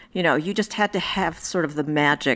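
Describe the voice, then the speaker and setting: A woman talks with an American accent and lively intonation. Her voice carries vocal fry. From US Midwest, Indiana. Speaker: federal judge. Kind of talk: interview.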